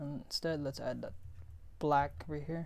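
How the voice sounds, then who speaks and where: A woman speaks with a non-native accent at a fairly slow pace. Audible room echo surrounds her voice. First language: not English. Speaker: 3D design instructor. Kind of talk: tutorial. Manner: halting; casual.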